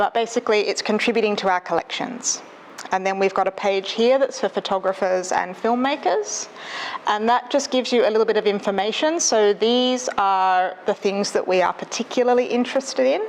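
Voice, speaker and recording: Soft-spoken, a woman talks with an Australian accent at very even loudness and a fairly high pitch. Her pitch varies in an ordinary way, and background noise is noticeable. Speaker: librarian. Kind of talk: presentation. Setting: stage with audience. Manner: fast.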